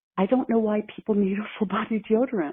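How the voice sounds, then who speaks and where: A woman is speaking. Her pitch is medium. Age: 60s. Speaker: caller. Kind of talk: voicemail question.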